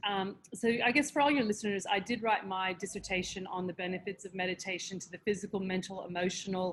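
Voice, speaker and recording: A woman talks at a very fast pace in an American accent. Her medium pitch shows ordinary variation. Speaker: meditation teacher with doctorate in parapsychic science. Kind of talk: podcast interview.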